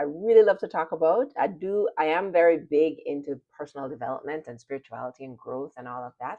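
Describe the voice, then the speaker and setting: A woman with a slight Jamaican accent speaks at a very deep, low pitch. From Jamaica, Kingston. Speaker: personal development and spirituality channel host. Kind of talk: motivational talk to camera.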